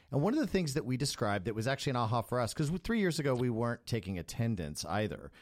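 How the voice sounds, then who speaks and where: Recorded very cleanly with a silent background, a man speaks in an unremarkable speaking voice at a medium pitch. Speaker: podcast co-host and music school owner. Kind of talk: casual podcast conversation.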